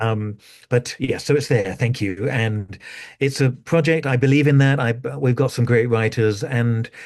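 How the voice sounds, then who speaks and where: A man speaks with an English accent at a medium pitch and moderate pace. His pitch varies in an ordinary way over a quiet background. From England. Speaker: astrologer and school director. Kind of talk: interview.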